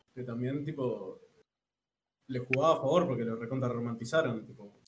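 Ordinary pitch variation with audible room echo. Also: man. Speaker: podcast co-host. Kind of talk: casual chat.

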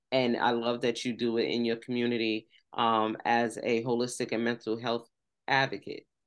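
A woman with an American accent speaks at a moderate pace in a very deep, low pitch, monotone and flat, with long, frequent pauses. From New York City and West Virginia. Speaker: podcast host and cannabis infusionist. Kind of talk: casual interview chat.

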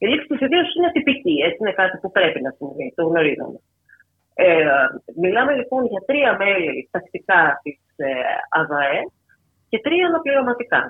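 At a moderate pace, a woman speaks at medium pitch with very wide pitch swings. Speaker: journalist. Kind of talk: radio interview.

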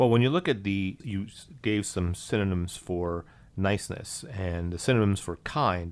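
A man with an American accent and a plain, everyday voice, fairly low in pitch, with ordinary pitch variation at a moderate pace, on a very clean recording with a silent background. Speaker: guest, husband of the host. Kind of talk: interview, conversational discussion.

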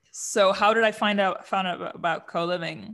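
Recorded very cleanly with a silent background, a woman speaks at a medium pitch with a German accent. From Germany, Aachen. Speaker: coliving company co-founder. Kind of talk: casual interview.

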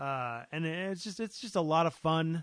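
Over a quiet background, a man with a high voice talks at a fairly slow pace with lively intonation in a dry, close sound with no echo. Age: 30s. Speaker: podcast co-host. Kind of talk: casual chat.

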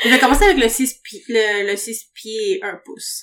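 Very slowly, a woman talks in a fairly high voice. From Latin America. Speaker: podcast guest. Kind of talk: casual chat.

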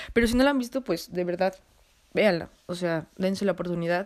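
Ordinary pitch variation marks the woman's speech. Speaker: podcast host. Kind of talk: solo casual monologue with film recommendations. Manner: halting, stumbles over words.

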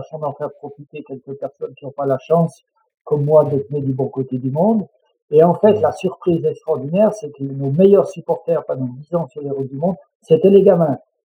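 In a normal speaking voice, a man talks fairly quickly and fairly high with ordinary pitch variation and big swings in loudness. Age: 60s. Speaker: mountain guide and public speaker. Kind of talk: interview.

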